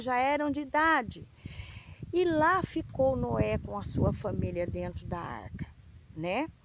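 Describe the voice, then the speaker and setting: Over noticeable background noise, a woman delivers her words fairly slowly. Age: 60s. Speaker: children's Bible storyteller. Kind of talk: Bible story for children. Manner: halting.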